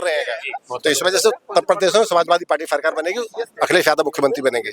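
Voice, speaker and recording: Moderate-paced speech from a man with a high pitch, the sound dry and close with no echo. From Aligarh, western Uttar Pradesh, India. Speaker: regional party official. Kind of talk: street interview.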